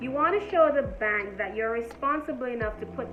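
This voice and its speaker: A woman speaks at a fairly quick pace. Noticeable background noise is present. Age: 20s. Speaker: entrepreneur, finance content creator. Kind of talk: casual talk to camera. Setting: phone microphone, poor audio.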